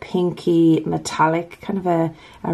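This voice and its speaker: This is a woman speaking. She has an Irish accent. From Ireland. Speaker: nail polish YouTuber. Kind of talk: casual talk to camera.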